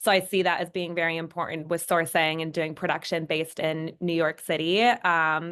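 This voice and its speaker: Over a quiet background, a woman with a Minnesotan accent speaks at a moderate pace in a fairly low pitch with a bright, sharp tone. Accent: Minnesota. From Minnesota, US. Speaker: fashion designer and brand founder. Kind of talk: panel discussion.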